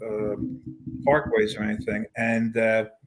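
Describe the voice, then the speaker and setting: In a Philadelphia accent, a man talks at a very slow pace. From US Northeast, Philadelphia. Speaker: singer-songwriter and pianist. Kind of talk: interview. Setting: podcast. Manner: halting.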